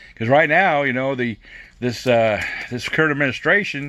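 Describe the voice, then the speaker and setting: Animated in tone, a man speaks at a medium pitch with ordinary pitch variation. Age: 60s. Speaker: prepper vlogger. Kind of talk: casual vlog monologue.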